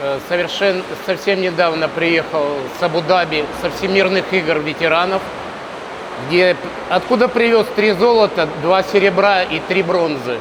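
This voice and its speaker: Noticeable background noise sits behind a man speaking fairly slowly with long, frequent pauses. His pitch is high, with ordinary pitch variation. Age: 60s. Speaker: swimming coach. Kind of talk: interview.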